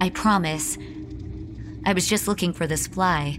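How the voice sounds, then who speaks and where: Music plays in the background as a woman speaks at a moderate pace. Her pitch is fairly low, with ordinary pitch variation. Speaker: story narrator. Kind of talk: horror fiction reading. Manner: ranting, bitter, conversational.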